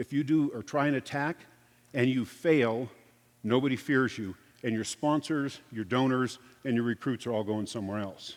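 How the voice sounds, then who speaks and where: This is a man with a plain, everyday voice at a medium pitch. He moves at a moderate pace with ordinary pitch variation. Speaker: security consultant and former police officer. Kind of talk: conference presentation. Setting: stage with audience.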